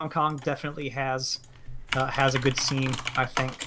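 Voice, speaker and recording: Over noticeable background noise, a man with an American accent talks fairly slowly at a medium pitch. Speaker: game commentator. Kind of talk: live commentary.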